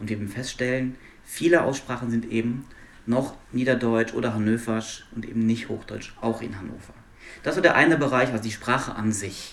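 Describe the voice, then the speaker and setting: An ordinary speaking voice from a man, medium in pitch, moderate in pace, with fairly even intonation. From Luxembourg. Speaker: linguist, university researcher. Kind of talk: interview conversation.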